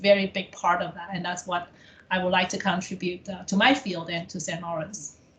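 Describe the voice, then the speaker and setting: A woman with a non-native accent speaks at medium pitch with fairly even intonation and big swings in loudness. Noticeable background noise is present. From abroad, came to Canada as international student. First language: not English. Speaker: college administrator in international education. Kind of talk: interview. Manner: halting with fillers.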